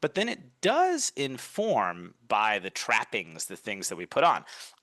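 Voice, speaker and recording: In a dry, close sound with no echo and a quiet background, a man speaks with an American accent. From US Northeast, Brooklyn, New York. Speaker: communication coach. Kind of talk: podcast interview.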